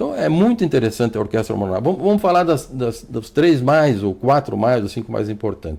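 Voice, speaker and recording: Talking at a fairly quick pace, a man uses a medium pitch with very wide pitch swings. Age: 60s. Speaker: doctor. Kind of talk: TV interview. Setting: TV studio. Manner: fluent.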